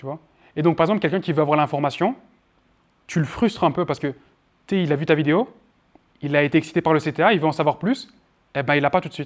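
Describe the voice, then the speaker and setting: This man speaks at a very fast pace yet leaves long, frequent pauses, his fairly high pitch showing ordinary variation. The recording is very clean, with a silent background. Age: 20s. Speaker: marketing trainer. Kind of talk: workshop lecture with Q&A. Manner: loud.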